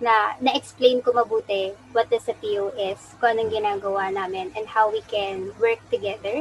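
Fairly high in pitch, a woman talks at a fairly slow pace. Hers is an ordinary speaking voice. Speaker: prosthetist and orthotist. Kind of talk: interview.

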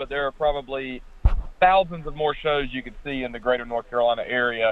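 With ordinary pitch variation, a man speaks fairly quickly in an unremarkable speaking voice. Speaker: radio co-host. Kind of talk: casual sports radio banter. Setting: phone call from home.

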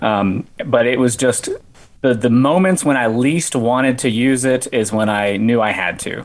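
A man with an American accent talks in a normal speaking voice. His pitch is medium with ordinary variation, at a moderate pace. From West Virginia. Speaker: ultrarunner and amateur filmmaker. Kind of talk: casual interview chat.

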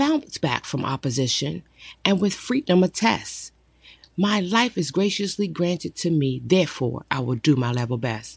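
A warm tone at a moderate pace over a quiet background. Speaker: poet and motivational podcaster. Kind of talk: poem performance, rhythmic rhyming verse read aloud as uplifting affirmation. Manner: warm, encouraging, measured and emphatic, with a cadence that lands on each rhyme; formal, sincere, and inspirational, like a sermon or pep talk.

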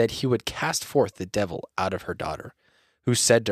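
The speaker reads aloud plainly, with ordinary pitch variation, against a quiet background.

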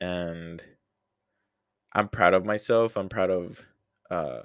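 A man's clear, smooth, fairly bright tone, low in pitch and slow in pace. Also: fairly even intonation.

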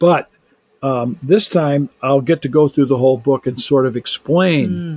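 Here a man speaks in a plain, everyday voice, fairly high in pitch with ordinary variation. The sound is dry and close, with no echo. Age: 60s. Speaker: biblical scholar and author. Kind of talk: casual chat.

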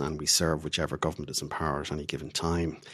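A man's very deep, low voice in an Irish accent, very fast, with fairly even intonation. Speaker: diplomat. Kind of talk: interview.

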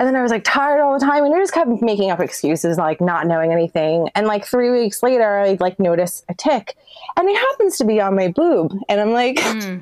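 With lively intonation and a fairly high pitch, a woman with an unremarkable speaking voice talks at a moderate pace. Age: 40s. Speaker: urban explorer and photographer. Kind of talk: casual interview chat.

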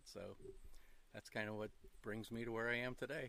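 This man has a western Pennsylvania accent, a medium pitch and monotone, flat intonation. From western Pennsylvania, Lawrence County. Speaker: retired wildlife land manager. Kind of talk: casual interview. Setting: outdoors in back of a truck.

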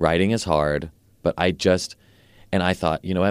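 The recording is very clean and the background silent. A man talks with vocal fry at a very deep, low pitch. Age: 30s. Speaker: writer. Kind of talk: casual chat.

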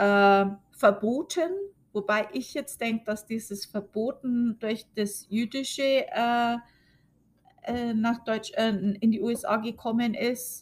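Her pace is very slow. The woman has a fairly high pitch and ordinary pitch variation. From Germany. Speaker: podcast host. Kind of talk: casual monologue. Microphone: new recording setup.

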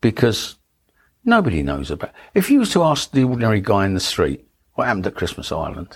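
Very fast speech from a man at medium pitch with very wide pitch swings. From London, Dagenham (Essex side of east London). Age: 70s. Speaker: Royal Navy nuclear test veteran. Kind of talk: oral history interview, personal testimony. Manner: casual, anecdotal.

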